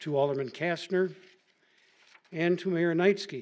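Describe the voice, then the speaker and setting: His intonation is fairly even and his pitch high. The man speaks at a moderate pace. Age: 70s. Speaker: resident speaking at public comment. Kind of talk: prepared public comment statement. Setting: city council meeting. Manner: formal.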